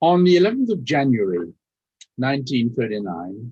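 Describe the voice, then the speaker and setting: This man's medium-pitched voice swings very widely up and down in pitch. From Austria, later raised in Leeds. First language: German. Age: 90s. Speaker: Holocaust survivor speaker. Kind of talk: testimony. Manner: formal.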